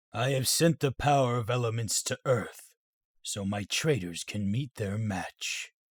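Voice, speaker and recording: A man does a put-on character voice at a medium pitch and moderate pace on a very clean recording with a silent background. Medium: audio drama. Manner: formal, grave.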